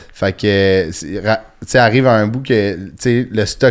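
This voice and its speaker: Fairly even intonation marks a man's normal speaking voice at a medium pitch. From Quebec (Sainte-Thérèse, north of Montreal). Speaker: comedian. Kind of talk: casual chat.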